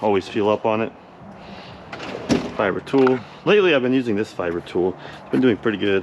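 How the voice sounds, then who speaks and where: Noticeable background noise runs behind a man talking. He speaks at a very fast pace with ordinary pitch variation. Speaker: auto glass technician. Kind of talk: tutorial. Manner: casual.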